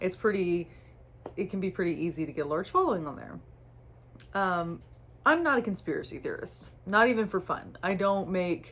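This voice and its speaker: The speech moves at a moderate pace with ordinary pitch variation and long, frequent pauses. The recording is very clean with a silent background. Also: woman. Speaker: content creator. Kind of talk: casual monologue. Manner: hesitant, filler-heavy.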